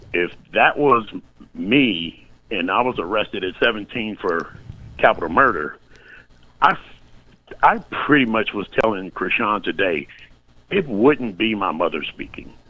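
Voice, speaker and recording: Speaking at a fairly slow pace, a man with a fairly low pitch uses lively intonation and takes long, frequent pauses. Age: 60s. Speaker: podcast guest, retiree. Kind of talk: casual chat. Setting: live online stream. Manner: halting.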